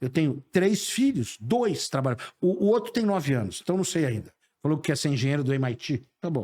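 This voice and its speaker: A man with a fairly high pitch and dark, mellow tone, his pitch swinging very widely, in a very clean recording with a silent background. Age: 60s. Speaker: sales professor and speaker. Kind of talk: interview conversation. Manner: animated.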